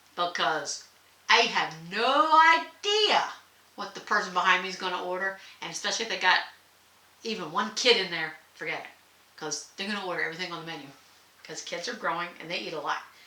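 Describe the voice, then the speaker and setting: A woman with a medium pitch speaks in an animated tone with ordinary pitch variation and big swings in loudness. Long, frequent pauses break her speech, with audible room echo and noticeable background noise. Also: fairly quick pace. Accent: American. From not the US South. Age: 60s. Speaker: sewing and comedy vlogger. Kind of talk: casual vlog monologue.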